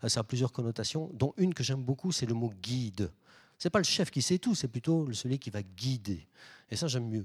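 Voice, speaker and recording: Over a silent background in a very clean recording, a man talks at a moderate pace in an ordinary speaking voice, medium in pitch with lively intonation. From Belgium. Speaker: management consultant and lecturer. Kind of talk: public lecture. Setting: stage with audience.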